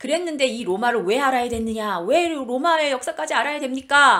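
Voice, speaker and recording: This woman talks at a high pitch with lively intonation and a bright, sharp tone. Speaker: Bible teacher. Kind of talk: lecture. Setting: online live lecture. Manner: fast.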